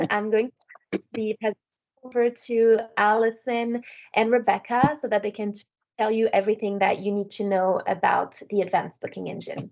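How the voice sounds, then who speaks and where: A woman with a French accent speaks at a fairly high pitch and a fairly quick pace. Her intonation stays fairly even while her loudness swings widely. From France. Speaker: software sales manager. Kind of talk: webinar presentation. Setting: online webinar.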